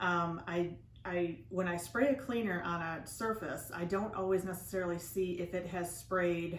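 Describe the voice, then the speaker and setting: A woman speaks at a fairly low pitch with fairly even intonation. Audible room echo and noticeable background noise fill the recording. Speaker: DIY channel host. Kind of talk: tutorial. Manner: casual, conversational with fillers.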